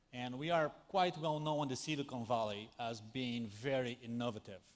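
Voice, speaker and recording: With a Brazilian accent, a man speaks at medium pitch in a very clean recording with a silent background. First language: Portuguese. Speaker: tech company speaker. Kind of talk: conference talk. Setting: stage with audience. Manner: animated.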